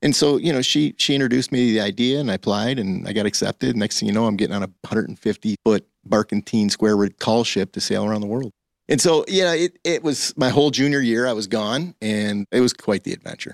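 A man with an Upper Midwest accent talks very fast at a medium pitch, his pitch varying in an ordinary way, in a dry, close recording with no echo. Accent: Upper Midwest American. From Michigan. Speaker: coffee franchise co-founder. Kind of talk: interview. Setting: radio studio.

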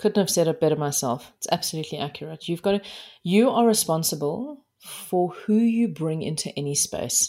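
With a South African accent, a woman speaks at a fairly low pitch in a dark, mellow tone, her intonation lively. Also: moderate pace. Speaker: life coach. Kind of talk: interview conversation. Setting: remote interview.

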